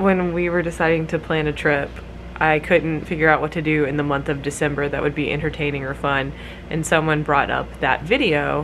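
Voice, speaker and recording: A woman with a very deep, low voice speaks at a fairly quick pace in a monotone, flat delivery over light background noise. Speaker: vlogger. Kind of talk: casual vlog chat. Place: home room. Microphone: phone near.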